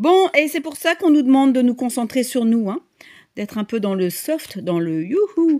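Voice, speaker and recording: The speaker moves at a fairly slow pace with very wide pitch swings, on a very clean recording with a silent background. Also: woman. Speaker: tarot reader and medium. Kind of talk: tarot reading monologue. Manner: halting, many fillers.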